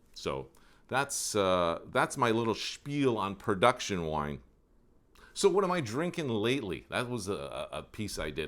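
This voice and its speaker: A fairly low-voiced man with a Canadian accent and vocal fry, at a moderate pace, in a very clean recording against a silent background. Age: 60s. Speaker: wine video host. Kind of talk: casual solo talk to camera. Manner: hesitant, many fillers.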